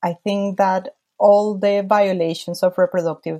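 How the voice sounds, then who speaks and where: A woman with a Spanish accent speaks at a very slow pace in a dark, mellow tone with fairly even intonation, recorded with a dry, close sound and no echo. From Colombia. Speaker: lawyer and women's rights advocate. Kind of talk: interview.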